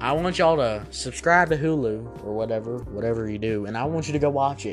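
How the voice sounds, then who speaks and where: With music playing in the background, a man talks at a very fast pace with a Southern US accent. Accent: Southern US country. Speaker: podcast host doing a news and entertainment commentary show. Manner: casual, joking, rambling.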